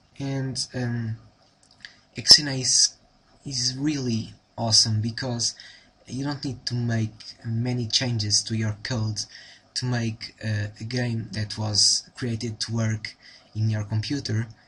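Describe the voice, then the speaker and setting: A man with a Portuguese accent speaks at a very slow pace with long, frequent pauses, using a bright, sharp tone at a medium pitch in a flat monotone. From Portugal. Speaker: programming tutor. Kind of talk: tutorial. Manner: halting, many fillers.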